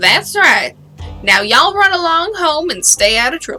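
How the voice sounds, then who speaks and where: Faint music plays behind a woman doing a gravelly, put-on character voice at a moderate pace. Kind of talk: rural Western drawl.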